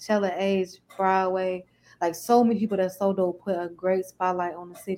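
A woman speaking at a moderate pace. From Chicago, east side. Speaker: R&B singer. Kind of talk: casual interview.

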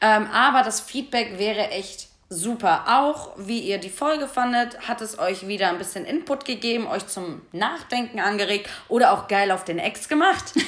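A woman with a normal speaking voice, fairly high in pitch, talks at a fairly slow pace with lively intonation and hardly any pauses. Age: 20s. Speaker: podcast host. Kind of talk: casual chat.

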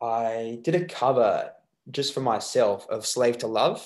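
This man's voice stays at a medium pitch and varies in an ordinary way. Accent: Australian. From Australia, Melbourne. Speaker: musician. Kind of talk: interview. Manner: halting.

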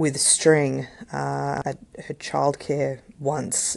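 The speaker talks with an Australian accent. The background is quiet. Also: woman. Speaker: podcast host, parent. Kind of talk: solo podcast monologue. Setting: home recording. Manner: casual, chatty.

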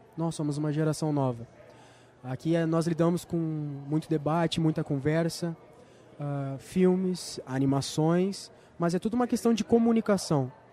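Using a plain, everyday voice, a man speaks at a moderate pace and a fairly high pitch with ordinary pitch variation. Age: 20s. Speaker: student podcast host. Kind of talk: interview. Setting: on location at a film festival.

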